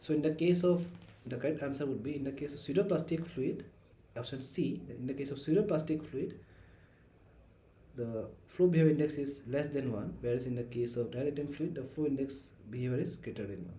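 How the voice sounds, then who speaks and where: Soft-spoken, somewhat breathy man with a fairly high pitch, in audible room echo. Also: ordinary pitch variation. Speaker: teaching assistant. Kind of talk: tutorial.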